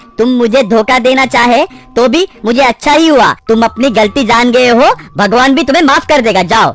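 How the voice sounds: A cartoonish character voice, fairly high in pitch, at a moderate pace over faint music in the background.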